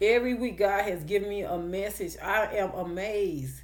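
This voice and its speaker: Audible room echo surrounds a woman with a slight country accent. Her medium-pitched voice has lively intonation. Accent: slight country twang. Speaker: online preacher. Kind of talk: sermon. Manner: emphatic, repetitive.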